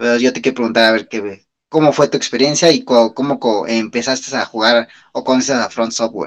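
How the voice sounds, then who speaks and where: A man with a Mexican accent speaks at a fairly quick pace and a medium pitch. His pitch variation is ordinary, and the background is quiet. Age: 30s. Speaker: podcast co-host. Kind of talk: casual chat.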